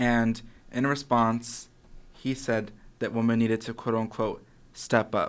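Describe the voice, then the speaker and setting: A medium-pitched man with an American accent, fairly slow, in a monotone, flat delivery with long, frequent pauses, on a very clean recording with a silent background. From Arizona, Casa Grande, Pinal County. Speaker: student panelist, entertainment news. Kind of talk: casual panel chat. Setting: studio.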